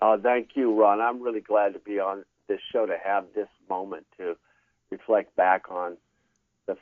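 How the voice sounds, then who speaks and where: This is an ordinary speaking voice, a man with an American accent. He talks at a moderate pace with a fairly low pitch. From California. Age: 60s. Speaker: former student, interview guest. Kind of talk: interview.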